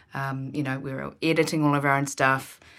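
A woman with a New Zealand accent speaks at a moderate pace in a bright, sharp tone. The recording is very clean, with a silent background. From New Zealand, rural Marlborough. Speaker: film producer. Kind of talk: casual interview.

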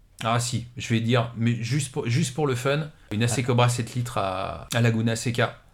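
At a fairly slow pace, a man with a medium pitch speaks in a somewhat breathy voice with fairly even intonation. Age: 40s. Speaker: motoring journalist and former racing driver. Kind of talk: interview. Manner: halting, many fillers and repetitions.

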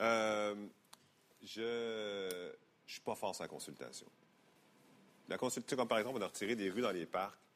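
A man talks at a fairly slow pace with long, frequent pauses. His pitch is fairly low, with ordinary variation. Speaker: politician. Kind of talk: interview.

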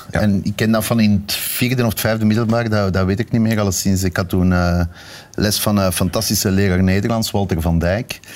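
A man's fairly low voice at a fairly quick pace, with very even loudness, fairly even intonation and noticeable background noise. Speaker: TV director. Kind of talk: casual chat. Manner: halting.

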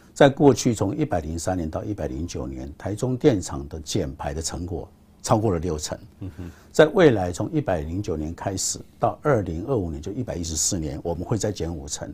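A man with a very deep, low pitch and a dark, mellow tone sounds somewhat breathy, talking at a moderate pace with very wide pitch swings. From Taiwan, Taichung. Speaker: state power utility chairman. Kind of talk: interview.

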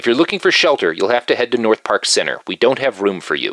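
A man puts on a character voice at a medium pitch. He rattles through it at a very fast pace. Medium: read story. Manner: curt, profane.

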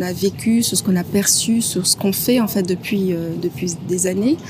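A woman speaks over noticeable background noise. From Guadeloupe (Les Abymes). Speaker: orchestra conductor and musician. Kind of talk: interview. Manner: hesitant, many fillers.

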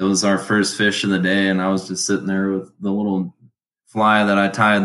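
A man with an American accent, very deep and low in pitch, in a flat monotone at a moderate pace. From Colorado. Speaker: video editor and fisherman. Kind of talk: casual chat.

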